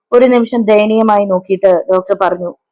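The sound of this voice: Someone reads in an unforced voice.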